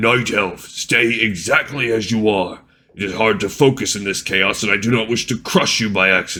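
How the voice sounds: In a put-on character voice, a man booms out his lines. His pitch sits in the medium range. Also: moderate pace.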